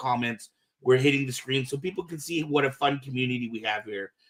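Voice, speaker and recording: A man's fairly high, fairly quick delivery with ordinary pitch variation, in a normal speaking voice. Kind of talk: casual podcast host talk. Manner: upbeat.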